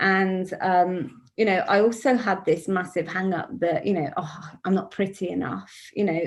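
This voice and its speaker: In a British accent, a woman speaks with vocal fry and fairly even intonation. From UK. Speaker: author. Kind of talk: panel interview.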